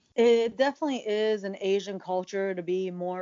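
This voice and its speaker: A woman with an American accent speaks at a moderate pace with ordinary pitch variation in a plain, everyday voice. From USA. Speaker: professional wrestler. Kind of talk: interview conversation.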